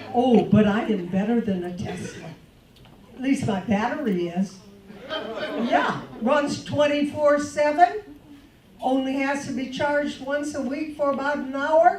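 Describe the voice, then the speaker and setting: A woman at a high pitch with lively intonation and a fairly slow pace, with audible room echo and noticeable background noise. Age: 70s. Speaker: comedian. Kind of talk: stand-up. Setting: stage with audience.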